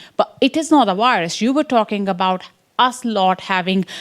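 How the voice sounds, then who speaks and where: In an Indian accent, a woman speaks at a medium pitch with ordinary pitch variation. The recording is very clean, with a silent background. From English Midlands. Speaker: science education researcher. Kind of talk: conference talk.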